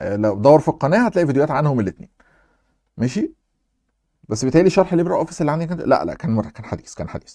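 Very fast speech in an Egyptian accent, dark and mellow in tone with vocal fry and very wide pitch swings, on a very clean recording with a silent background. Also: man, fairly high pitch for a man. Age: young. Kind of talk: casual Q&A chat.

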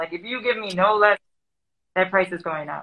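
Against a quiet background, a woman speaks with an American accent. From US Midwest, Madison, Wisconsin; Wisconsin. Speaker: graffiti artist; guest. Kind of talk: interview. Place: home room. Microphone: webcam.

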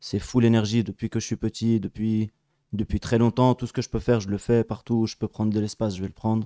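Against a quiet background, a man at medium pitch talks at a fairly quick pace in a dark, mellow tone with monotone, flat intonation. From Geneva, Switzerland (Palestinian family). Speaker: activist; guest. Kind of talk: casual chat. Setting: live stream studio. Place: home room. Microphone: studio mic.

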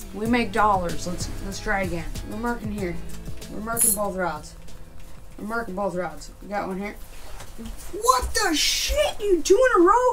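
Over clear music in the background, a woman talks at a moderate pace. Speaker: fishing vlogger. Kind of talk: casual vlog chat. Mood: playful, joking. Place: tent. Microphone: camera far.

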